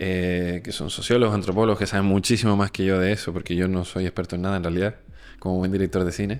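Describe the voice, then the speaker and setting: In a flat monotone, a man with a very deep, low voice speaks very fast. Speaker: film director. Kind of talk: podcast interview.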